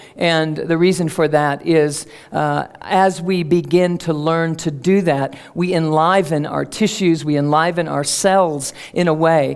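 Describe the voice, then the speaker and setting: A woman speaks at a fairly slow pace with a fairly low pitch and fairly even intonation. Background noise is noticeable. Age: 50s. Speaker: speaker on energy medicine. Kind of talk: public talk. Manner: conversational, with fillers.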